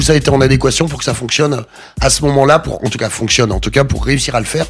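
A man speaks at a medium pitch in a plain, everyday voice. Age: 40s. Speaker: film director. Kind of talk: interview.

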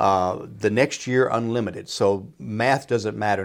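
This man has an ordinary speaking voice, fairly low in pitch with ordinary pitch variation, in a very clean recording with a silent background. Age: 60s. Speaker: financial advisor. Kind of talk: casual chat.

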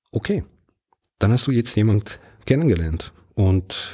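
A man speaks with an Italian-Swiss accent. His tone is dark and mellow, and somewhat breathy. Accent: Italian-Swiss, non-native German. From Ticino, Switzerland. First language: Italian (speaking German). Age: 50s. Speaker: podcast host. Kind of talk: solo podcast monologue.

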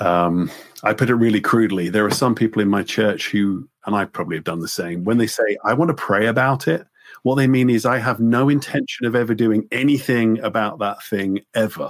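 In an English accent, a man at medium pitch talks at a fairly quick pace with ordinary pitch variation, on a very clean recording with a silent background. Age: 50s. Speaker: pastor and theology professor. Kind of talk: casual chat.

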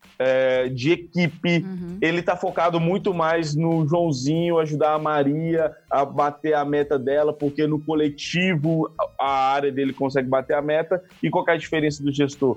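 Music in the background behind a man with a fairly high pitch, fairly even intonation and hardly any pauses. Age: 20s. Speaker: tech startup CEO. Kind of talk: podcast interview.

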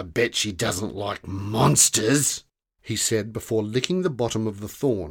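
With little behind it but quiet, an unforced reading voice moves through ordinary pitch variation.

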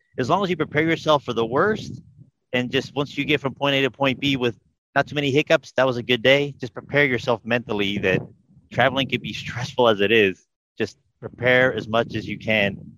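Bright and sharp in tone, a man of medium pitch talks at a fairly quick pace with ordinary pitch variation, recorded dry and close with no echo. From Portugal. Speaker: flight attendant. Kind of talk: casual interview.

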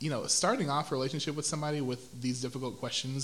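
Someone with an American accent talks at a very fast pace with fairly even intonation, and audible room echo surrounds the voice. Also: man. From Houston, Texas. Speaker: educator, church praise team singer. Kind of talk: casual interview.

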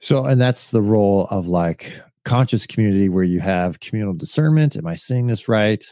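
On a very clean recording with a silent background, a man speaks at a fairly low pitch. His intonation is lively and he takes hardly any pauses. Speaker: podcast co-host. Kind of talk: casual chat. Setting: studio. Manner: fast.

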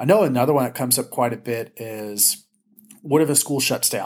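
Speaking at a moderate pace with an American accent, a man has an unremarkable speaking voice at medium pitch. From Southern California, Ventura County. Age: 30s. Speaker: education policy advocate and trainer. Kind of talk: interview conversation.

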